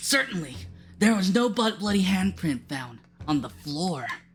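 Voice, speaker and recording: With music in the background, a female-sounding voice uses a raspy put-on character voice at medium pitch and a moderate pace. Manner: dramatic, earnest, theatrical.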